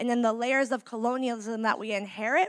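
With a Californian accent, the speaker talks at a fairly quick pace on a very clean recording with a silent background. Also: woman. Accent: Californian American. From San Francisco Bay Area, US. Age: 30s. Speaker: community organizer. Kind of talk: speech to a live audience. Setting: stage with audience.

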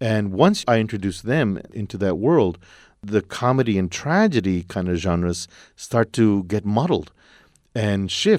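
An unremarkable speaking voice moves at a fairly slow pace with ordinary pitch variation, on a very clean recording with a silent background. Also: man, fairly low pitch for a man. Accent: American. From Texas, El Paso. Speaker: playwright. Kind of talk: interview.

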